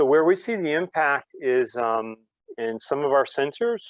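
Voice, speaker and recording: This man has a medium pitch with ordinary pitch variation. It is an unremarkable speaking voice. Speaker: business development director, alumnus guest speaker. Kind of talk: webinar Q&A interview.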